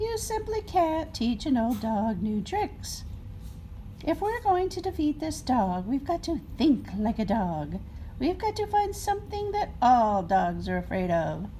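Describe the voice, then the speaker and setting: Through clear background noise, a put-on character voice at high pitch moves at a fairly slow pace. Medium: read story. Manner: earnest, lecturing.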